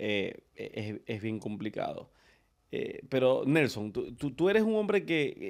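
A man speaks against a quiet background. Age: 30s. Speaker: podcast host. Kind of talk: casual chat. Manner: animated. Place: studio. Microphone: studio mic.

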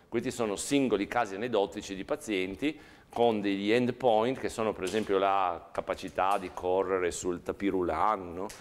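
Ordinary pitch variation runs through speech delivered at a moderate tempo. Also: man, fairly low pitch for a man. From Italy. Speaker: professor; university lecturer. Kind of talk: lecture. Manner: halting, repeating words. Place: classroom.

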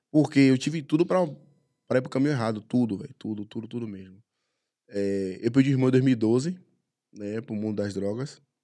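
Against a quiet background, a man talks at a medium pitch and a fairly quick pace, with long, frequent pauses, big swings in loudness, and ordinary pitch variation. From Salvador, Bahia, Brazil (Brotas); Bahia, Brazil. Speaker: MMA fighter; guest. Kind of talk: casual chat. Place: studio. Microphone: studio mic.

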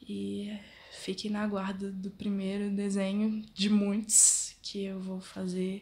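A woman speaks very slowly in a somewhat breathy, dark, mellow voice, medium in pitch, with monotone, flat intonation. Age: 20s. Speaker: fashion design student and drawing vlogger. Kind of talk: casual vlog intro. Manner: halting.

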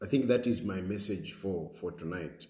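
A man's dark, mellow, somewhat breathy voice with lively intonation at a fairly slow pace, with audible room echo and a quiet background. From Zambia. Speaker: political commentator and show host; political commentator, show host. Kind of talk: talk show with phone-in callers. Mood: serious, concerned. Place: home room. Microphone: phone near.

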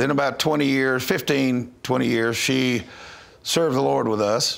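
Male speech at a moderate pace, ordinary in pitch variation. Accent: Southern US. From North Louisiana, USA. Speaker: missionary minister. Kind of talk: interview answer. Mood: earnest, calm storytelling. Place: studio. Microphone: lapel.

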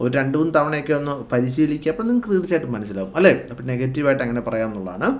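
A man's voice moves through very wide swings in pitch. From Kerala, India. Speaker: English teacher. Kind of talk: tutorial.

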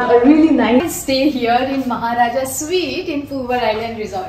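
A woman speaks at a moderate pace with a high pitch. Light background noise and audible room echo are present. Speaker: travel vlogger. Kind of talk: casual vlog chat. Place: home room.

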